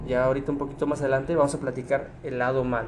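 A man's voice with audible room echo and music in the background. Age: 20s. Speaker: podcast host. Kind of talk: casual chat.

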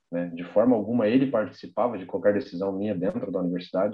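A man talks at a fairly quick pace in an ordinary speaking voice. His pitch sits fairly low. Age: 20s. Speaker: architect and graphic designer. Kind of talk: casual chat.

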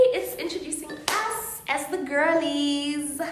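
A woman is speaking. Noticeable background noise and audible room echo are heard. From South Africa, Cape Town. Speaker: podcast co-host. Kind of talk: casual chat.

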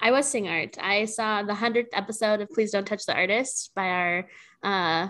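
On a very clean recording with a silent background, a normal speaking voice keeps fairly even intonation at a moderate pace. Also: woman. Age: 20s. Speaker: podcast co-host, curator and relational artist. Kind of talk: casual chat.

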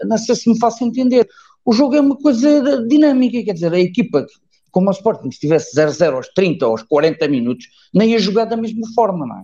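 A man's high, dark and mellow voice at a fairly quick pace, with very wide pitch swings. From Évora, Portugal. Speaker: football fan commentator. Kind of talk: online group discussion.

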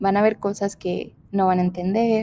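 A woman speaks in a dark, mellow tone at medium pitch, her intonation monotone and flat. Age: 20s. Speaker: podcast host. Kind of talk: casual monologue. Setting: large empty room.

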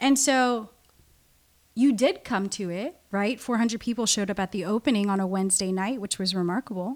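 A woman with an American accent and an unremarkable speaking voice, medium pitch, ordinary pitch variation, and a moderate pace. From US West Coast, Southern California (Orange County). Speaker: artist and curator. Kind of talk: casual interview.

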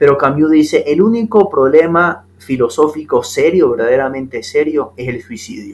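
This man has an ordinary speaking voice and a moderate pace with hardly any pauses. His loudness swings widely. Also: fairly high pitch for a man, lively intonation. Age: 20s. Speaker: lawyer and novelist, podcast guest. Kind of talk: casual philosophical conversation.

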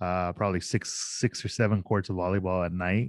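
A man speaks in a normal speaking voice at a fairly low pitch. His intonation stays fairly even. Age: 40s. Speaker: sports league organizer. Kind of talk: casual chat.

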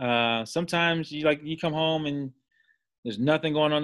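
A man with an American accent talks in a normal speaking voice at a fairly quick pace. His pitch variation is ordinary. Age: 30s. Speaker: college football coach. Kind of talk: casual interview.

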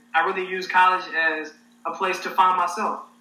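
There is noticeable noise in the background. A man talks with an American accent. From Arkansas, US South. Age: 20s. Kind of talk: casual interview. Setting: online livestream.

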